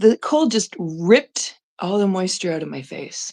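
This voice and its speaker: A woman with a Canadian accent speaks at medium pitch and a fairly slow pace. Vocal fry runs through her voice. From Canada. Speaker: live streamer. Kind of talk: casual live stream chat. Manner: casual, halting with fillers.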